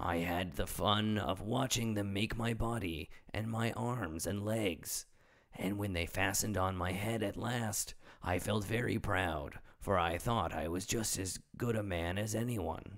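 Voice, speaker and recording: In a put-on character voice, a man talks fairly slowly, raspy and fairly low in pitch. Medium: read story. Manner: simple, earnest.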